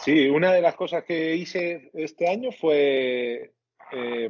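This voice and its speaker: Fairly high-pitched for a man, this is an ordinary speaking voice with ordinary pitch variation. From Spain, Castilla y León. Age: 30s. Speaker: amateur astrophotographer. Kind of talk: casual interview.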